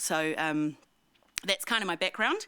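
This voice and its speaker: A woman speaks loudly in a bright, sharp tone at a fairly low pitch. The recording is very clean, with a silent background. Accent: New Zealand. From New Zealand, Wanaka. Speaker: ski resort president and CEO. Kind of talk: public talk to community audience. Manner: casual, hesitant with many ums.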